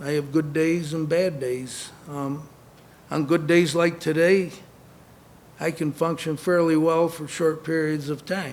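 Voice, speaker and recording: Fairly high-pitched male voice in a flat monotone, fairly slow, with audible room echo. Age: 60s. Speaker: former boxer and concussion awareness speaker. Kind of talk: conference speech.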